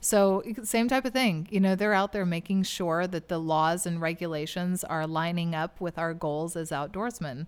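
A woman with an American accent and a normal speaking voice talks at a moderate pace in a fairly low pitch, with ordinary pitch variation, on a very clean recording with a silent background. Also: hardly any pauses. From Oklahoma. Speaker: hunter and conservation spokesperson. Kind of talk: casual interview. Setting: convention.

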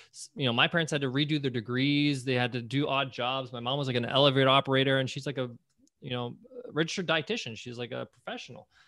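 A man with a New York accent, medium in pitch, with fairly even intonation and a very fast pace. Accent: New York American. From US, New York. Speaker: entrepreneur and podcast host. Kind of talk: interview.

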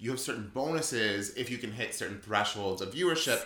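Lively male intonation amid noticeable background noise. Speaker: podcast host. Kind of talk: casual chat over wine. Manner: bantering, interrupts often.

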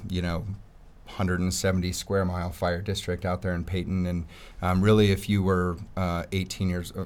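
A man speaks with monotone, flat intonation at a very deep, low pitch. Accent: American. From Colorado, US. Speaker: firefighter in recovery from addiction. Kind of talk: personal testimony.

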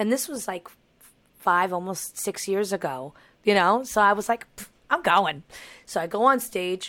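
A woman with a New York accent speaks at a moderate pace and medium pitch in a bright, sharp tone, her intonation lively, her loudness swinging widely, with long, frequent pauses. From New York, Long Island. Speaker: singer and voice teacher. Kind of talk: casual chat.

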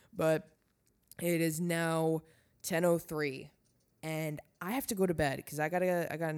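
A woman speaks at a moderate pace with a very deep, low pitch. The recording is very clean, with a silent background. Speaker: podcast host. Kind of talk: casual monologue. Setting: lying in bed at home. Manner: casual, filler-heavy.

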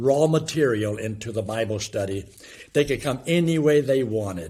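A man's medium-pitched, somewhat breathy voice at a moderate pace, with lively intonation. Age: 70s. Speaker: evangelist and former youth ministry leader. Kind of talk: interview; gospel presentation. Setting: video call.

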